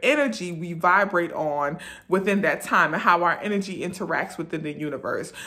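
Against a quiet background, a woman with a bright, sharp tone talks at a moderate pace with lively intonation. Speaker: wellness video creator. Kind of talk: informational talk to camera about new moon rituals. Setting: self-recorded video. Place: home room. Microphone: phone near.

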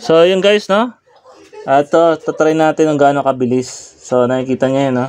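A man with a fairly high voice. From Philippines. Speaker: vlogger. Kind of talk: product unboxing and review. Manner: halting, many fillers. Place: home room. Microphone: phone near.

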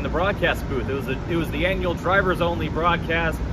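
A man speaks fairly quickly against loud background noise. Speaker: motorsport reporter. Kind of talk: race recap commentary. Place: street. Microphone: handheld.

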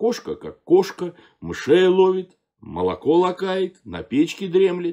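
Against a quiet background, a man talks at a fairly slow pace with a dark, mellow tone. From Russia. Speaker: theatre actor and director reading a fairy tale. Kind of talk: fairy tale reading aloud. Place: home room. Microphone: phone near.

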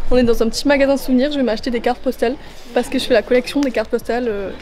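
A woman's fairly high, slightly mellow voice at a very fast pace, with fairly even intonation and faint background noise

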